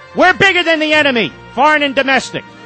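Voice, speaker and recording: Backed by music, a man speaks with lively intonation. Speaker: political radio host. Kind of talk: political pep talk monologue. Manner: impassioned, rousing.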